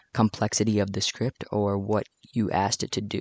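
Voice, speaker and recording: Monotone, flat intonation comes at a moderate pace, with a dry, close sound with no echo and a quiet background. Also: man. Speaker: Roblox Lua coding tutorial maker. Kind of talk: screen-recorded coding tutorial. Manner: some stuttering and hesitant speech.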